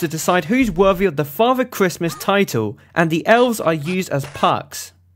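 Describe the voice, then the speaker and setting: Spoken at a fairly quick pace with lively intonation, this voice has an English accent. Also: man. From England. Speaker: video game reviewer. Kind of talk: scripted review narration.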